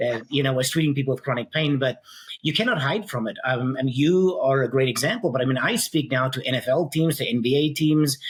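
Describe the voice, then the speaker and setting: Speaking very fast with a South African accent, a man with a fairly high voice shows ordinary pitch variation. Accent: South African (self-described funny accent). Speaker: physical therapist and pain science educator. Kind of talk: podcast interview. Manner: many filler ums.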